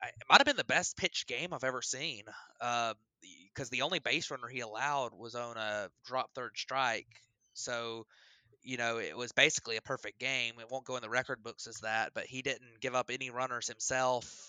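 A man's medium-pitched voice with fairly even intonation, an ordinary speaking voice. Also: moderate pace. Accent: American. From US South, Alabama. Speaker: baseball podcast co-host. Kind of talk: casual chat.

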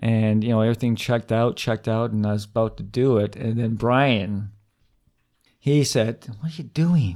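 This is a man with an unremarkable speaking voice, medium in pitch, with ordinary pitch variation at a moderate pace. The recording is very clean with a silent background. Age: 50s. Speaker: comedian. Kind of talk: casual chat.

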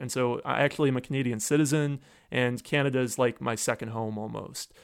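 A man with an American accent and a normal speaking voice, medium in pitch with fairly even intonation, on a very clean recording with a silent background. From US Northeast. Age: 30s. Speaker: computer science professor. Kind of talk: podcast interview.

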